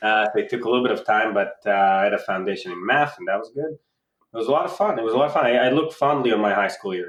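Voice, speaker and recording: In an Israeli accent, a man races along at a very fast pace with lively intonation and hardly any pauses. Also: medium pitch for a man. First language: Hebrew. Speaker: insurtech startup founder. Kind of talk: casual interview.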